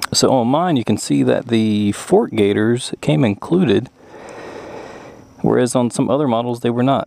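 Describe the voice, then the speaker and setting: A man talks at a moderate pace with a medium pitch and lively intonation. His loudness stays very even, he pauses long and often, and background noise is noticeable. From US South. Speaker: motorcycle YouTuber. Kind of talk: motorcycle review. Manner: casual, many fillers.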